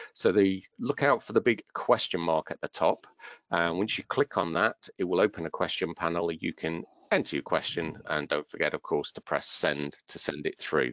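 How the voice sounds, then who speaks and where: At a moderate pace, the voice comes through with a dry sound, no echo and a quiet background. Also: man. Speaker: webinar organiser. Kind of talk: online training webinar. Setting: online webinar. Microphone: headset.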